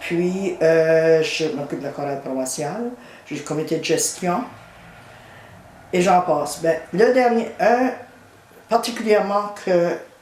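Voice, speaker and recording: Speaking very slowly with long, frequent pauses, a woman uses lively intonation at a fairly low pitch, with audible room echo and noticeable background noise. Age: 70s. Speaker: retired teacher and community volunteer. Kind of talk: interview testimony.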